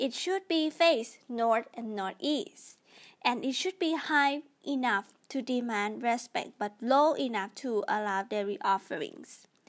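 Speech in a Thai accent comes at a fairly slow pace with lively intonation. The recording is very clean, with a silent background. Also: woman, high pitch for a woman. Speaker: podcast host. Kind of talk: casual explainer monologue. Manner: halting.

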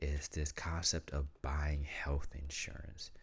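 A man with a very deep, low, somewhat breathy voice speaks very slowly in a flat monotone. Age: young. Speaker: podcast host. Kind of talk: casual monologue.

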